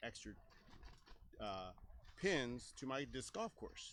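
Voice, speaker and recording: The speaker talks at a moderate pace with a Texan accent. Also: man. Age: 60s. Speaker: disc golf course owner and tournament director. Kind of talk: interview.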